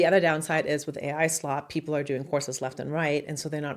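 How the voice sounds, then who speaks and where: Over a silent background in a very clean recording, a woman talks at a very fast pace with a German accent. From Germany. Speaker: marketing consultant and online educator. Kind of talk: casual talk to camera. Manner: direct.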